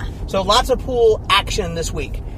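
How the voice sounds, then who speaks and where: Over noticeable background noise, a man's voice has a dry sound with no echo. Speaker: real estate vlog co-host. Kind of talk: casual vlog chat. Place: car. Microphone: camera far.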